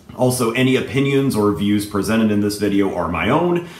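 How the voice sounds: A man's fairly low, slightly mellow voice at a fairly quick pace, lively in intonation, with audible room echo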